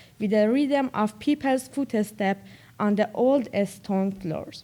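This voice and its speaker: Dark, mellow tone with lively intonation at a fairly slow pace, on a very clean recording over a silent background. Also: woman. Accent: Persian. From Iran. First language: Persian. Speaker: college student, reader. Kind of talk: reading aloud.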